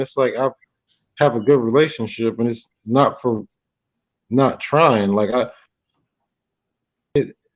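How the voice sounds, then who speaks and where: Man at a moderate pace with long, frequent pauses against a quiet background. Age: 40s. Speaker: podcast host. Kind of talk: casual chat.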